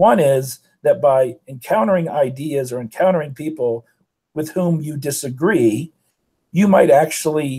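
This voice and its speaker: On a very clean recording with a silent background, a man's fairly high voice sounds dark, mellow and somewhat breathy, with ordinary pitch variation. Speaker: communication professor and debate coach. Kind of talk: lecture.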